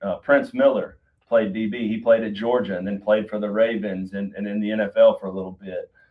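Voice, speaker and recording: A man with a South Carolina accent talks at a fairly quick pace in a fairly low pitch, his loudness swinging widely. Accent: Southern, South Carolina. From US South, Duncan, South Carolina. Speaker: college football head coach. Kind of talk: podcast interview. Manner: animated.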